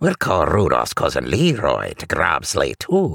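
A put-on character voice in a Scottish accent comes at a fairly slow pace, fairly bright in tone with vocal fry. Its pitch swings very widely. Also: man, extremely low pitch for a man.

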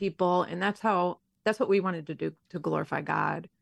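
The speech moves at a moderate pace with fairly even intonation, recorded dry and close with no echo over a quiet background. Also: woman. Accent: American. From Detroit area, Michigan. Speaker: mother, former missionary. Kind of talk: radio interview. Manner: hesitant, many fillers.

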